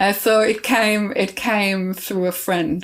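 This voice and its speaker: Fairly slow delivery from a woman with a non-native accent. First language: not English. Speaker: composer and choir director. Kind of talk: interview conversation. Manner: halting, many fillers and restarts.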